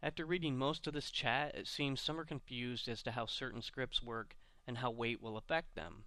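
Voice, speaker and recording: Bright and sharp in tone, a man talks at a moderate pace and medium pitch with ordinary pitch variation. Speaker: virtual drag car builder. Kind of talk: scripted video intro. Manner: nervous, not practiced.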